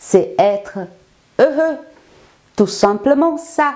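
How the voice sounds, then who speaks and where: A woman with a slight Brazilian accent, very wide pitch swings, and a very slow pace. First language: Portuguese (speaking French). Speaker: life coach. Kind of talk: self-presentation monologue.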